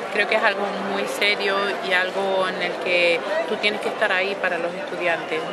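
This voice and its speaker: A woman speaks at a moderate pace over loud background noise, her voice dry with no echo. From Canary Islands, Spain. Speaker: opera singer, mezzo-soprano. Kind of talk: interview answer. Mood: warm, reflective. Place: street.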